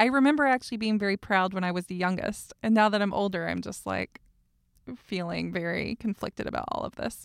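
Fairly quick, lively speech in a Southern US accent, on a very clean recording with a silent background and a dry, close sound with no echo. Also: woman. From US South. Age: 30s. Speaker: podcast host. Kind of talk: casual chat.

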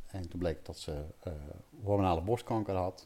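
A man's very deep, low voice with a dark, mellow tone at a moderate pace, on a very clean recording with a silent background. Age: 50s. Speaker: pain relief coach. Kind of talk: interview. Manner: halting.

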